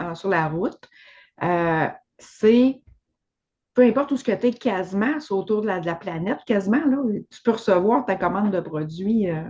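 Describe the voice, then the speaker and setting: A woman speaks with a Quebec accent. Her intonation is lively. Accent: Québécois French. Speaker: podcast host. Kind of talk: casual chat.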